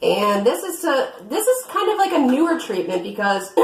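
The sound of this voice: A woman speaks at a moderate pace with big pitch swings. Audible room echo surrounds her voice.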